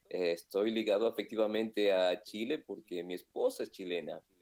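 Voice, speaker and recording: A man with a fairly low pitch and an unremarkable speaking voice talks at a moderate pace with ordinary pitch variation. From Argentina. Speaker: pastor. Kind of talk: interview.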